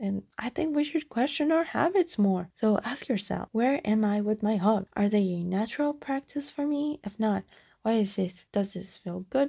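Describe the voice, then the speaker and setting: Fairly high in pitch, a woman with a dark, mellow, somewhat breathy tone speaks at a moderate pace with lively intonation and hardly any pauses, in a dry, close sound with no echo on a very clean recording with a silent background. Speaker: solo podcaster. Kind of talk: casual monologue. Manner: frequent laughing.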